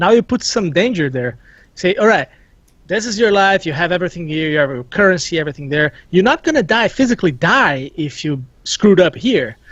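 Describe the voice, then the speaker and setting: The speaker talks at a fairly quick pace. They have a non-native accent. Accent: non-native accent, noted by self. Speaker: gaming show panelist. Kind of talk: casual discussion.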